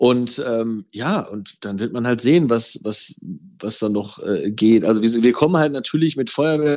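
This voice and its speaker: The man talks at a fairly slow pace. His pitch is medium and shows ordinary variation. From Ruhr area, Germany. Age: 30s. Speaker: fireworks company managing director. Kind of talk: interview. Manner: halting, many fillers.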